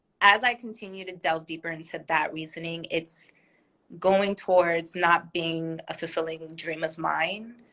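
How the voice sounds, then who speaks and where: Fairly low in pitch, a woman speaks at a fairly slow pace with a bright, sharp tone, fairly even intonation and big swings in loudness. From born in Korea, raised in a military household, partly in America. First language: Korean. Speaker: former law student, English teacher, business owner. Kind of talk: casual interview on a live stream. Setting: online live video stream.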